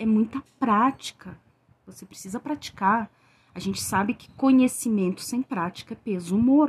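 A woman talks at a fairly slow pace in a somewhat breathy voice. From Rio Grande do Sul, southern Brazil. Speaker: tarot reader and witch. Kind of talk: solo podcast monologue.

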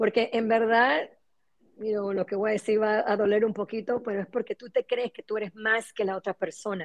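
A woman's plain, everyday voice, fairly high, with fairly even intonation at a moderate pace. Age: 50s. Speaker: spiritual coach and Kabbalah specialist. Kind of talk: interview.

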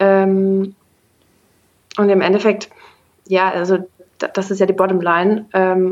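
Her medium-pitched voice stays in a flat monotone. The woman speaks at a very slow pace with long, frequent pauses. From Germany, Bonn. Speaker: startup founder and CEO. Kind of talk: interview.

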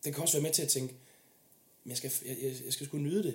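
There is some breathiness in this voice. Pitch moves up and down in an ordinary manner. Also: man. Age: 20s. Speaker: military police officer. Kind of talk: casual interview chat.

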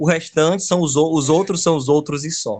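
A man speaks at a fairly quick pace in a fairly high pitch. The background is quiet. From Ceará, Brazil (Caucaia, near Fortaleza). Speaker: geography teacher and urban researcher. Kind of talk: casual interview. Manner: halting, frequent repetitions.

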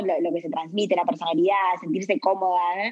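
In a Rioplatense accent, a woman speaks at a medium pitch. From Uruguay, Montevideo. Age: 30s. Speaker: skincare brand founder. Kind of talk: interview. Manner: halting.

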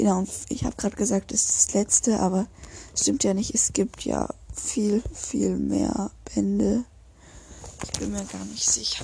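Noticeable background noise runs under the speech. The pace is moderate, broken by long, frequent pauses. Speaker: podcaster. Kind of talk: reading aloud. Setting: at home, window open. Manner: halting. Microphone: poor sound quality, open window.

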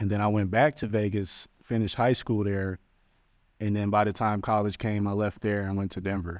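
In an American accent, the speaker talks at a moderate pace on a very clean recording with a silent background. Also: man, fairly low pitch for a man. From Long Beach, California. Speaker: rapper and musician. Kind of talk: casual interview chat. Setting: outdoors in a park. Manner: projects voice, animated.

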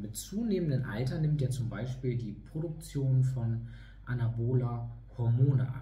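Amid noticeable background noise and audible room echo, a man of medium pitch talks at a moderate pace with ordinary pitch variation. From northern Germany, East Frisia (Leer). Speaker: fitness trainer. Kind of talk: online lecture. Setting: online video talk.

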